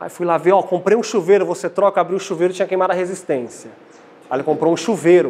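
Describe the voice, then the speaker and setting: A man's high-pitched voice at a very fast pace, with ordinary pitch variation. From Brazil. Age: 20s. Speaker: lay preacher. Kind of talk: sermon. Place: church. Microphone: lapel.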